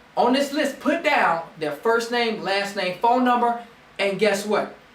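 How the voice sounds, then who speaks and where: Over noticeable background noise and audible room echo, a man speaks in an animated tone with ordinary pitch variation. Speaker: network marketing team leader. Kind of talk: motivational training talk. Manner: fast.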